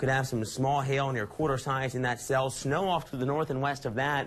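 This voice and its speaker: A man speaks at medium pitch in a plain, everyday voice. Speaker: meteorologist. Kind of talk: TV weathercast.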